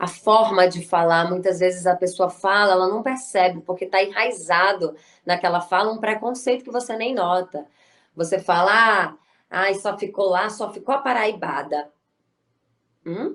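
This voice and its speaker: Her pitch is medium with ordinary variation as a woman talks at a moderate pace. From Brazil, Bahia (Salvador). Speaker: actress and writer. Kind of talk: interview.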